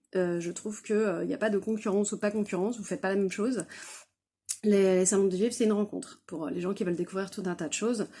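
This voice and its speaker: A woman with a dark, mellow tone and a medium pitch talks at a very fast pace, her intonation fairly even. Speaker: author and craft fair exhibitor. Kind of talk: casual vlog storytelling. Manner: many hesitations (euh); loud.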